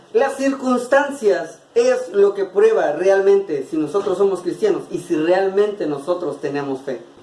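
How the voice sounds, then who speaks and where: Delivered at a fairly slow pace with hardly any pauses, the voice swings very widely in pitch over noticeable background noise. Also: man, high pitch for a man. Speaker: preacher delivering a monologue-sermon. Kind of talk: sermon / preaching monologue.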